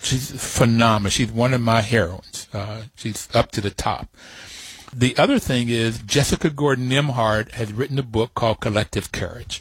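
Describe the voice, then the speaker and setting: A man speaks with an American accent in a somewhat breathy voice of medium pitch. The sound is dry and close with no echo, his intonation fairly even and his pace moderate. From West Virginia, Appalachia. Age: 70s. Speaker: radio host. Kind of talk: interview.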